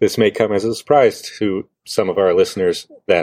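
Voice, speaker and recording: A man on a very clean recording, silent background. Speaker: podcast host and worship leader. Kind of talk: casual podcast interview.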